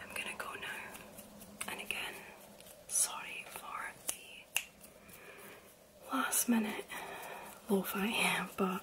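Whispering in a gentle tone, a woman speaks at a very slow pace with long, frequent pauses over noticeable background noise. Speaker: vlogger. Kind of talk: casual vlog chat. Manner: gentle whispered sign-off. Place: home room. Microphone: phone near.

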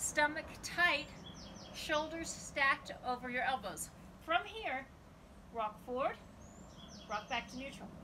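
Long, frequent pauses from a woman with a high pitch and lively intonation, at a fairly slow pace over noticeable background noise. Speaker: fitness instructor. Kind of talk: guided home workout demo, cueing exercises. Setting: home video recording. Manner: brisk, directive, encouraging; clipped, rhythmic counting cues. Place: garden. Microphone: camera far.

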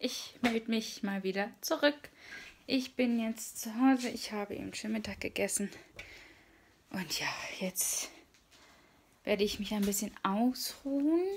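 A somewhat breathy woman talks at a fairly slow pace with ordinary pitch variation. Her speech has long, frequent pauses over light background noise. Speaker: vlogger. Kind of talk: casual vlog chat. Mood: cheerful, relaxed. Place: home room. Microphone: phone near.

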